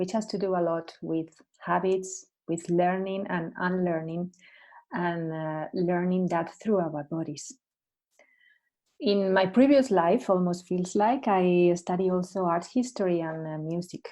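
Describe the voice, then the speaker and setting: With a Spanish accent and a dark, mellow tone, a woman speaks at a fairly slow pace in a medium pitch against a quiet background. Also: ordinary pitch variation. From Spain. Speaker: coach and Alexander Technique teacher. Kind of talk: casual chat.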